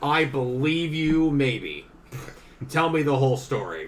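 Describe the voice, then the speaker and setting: A man's put-on character voice, fairly high in pitch, at a fairly slow pace with fairly even intonation and audible echo. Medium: actual play. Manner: officious.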